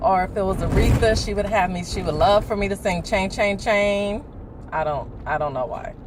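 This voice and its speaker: Lively in intonation and moderate in pace, a woman speaks amid audible room echo and noticeable background noise. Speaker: video blogger. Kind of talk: casual chat. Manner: animated.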